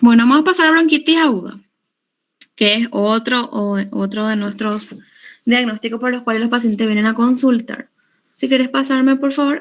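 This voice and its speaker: A woman with a high voice talks at a moderate speed, her pitch varying in an ordinary way. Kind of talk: lecture.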